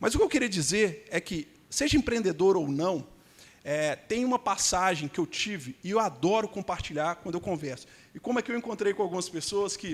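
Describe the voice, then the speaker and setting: Over a silent background in a very clean recording, a man with a Minas Gerais accent speaks at a high pitch with lively intonation. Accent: Minas Gerais (mineiro) Brazilian Portuguese. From Brazil, Belo Horizonte (Minas Gerais). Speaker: immigration lawyer. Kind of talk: conference panel talk.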